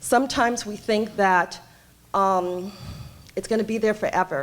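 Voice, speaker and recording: At a moderate pace, a woman speaks with a New York accent. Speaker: homeless services director. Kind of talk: panel talk. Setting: conference stage with audience. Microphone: too quiet at first, mic held away.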